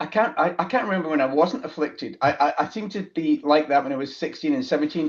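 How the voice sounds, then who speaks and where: A man speaks with a Scottish accent and ordinary pitch variation. The background is quiet. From Scotland, Glasgow. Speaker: business founder, accountant. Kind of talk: interview conversation. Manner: halting, many fillers.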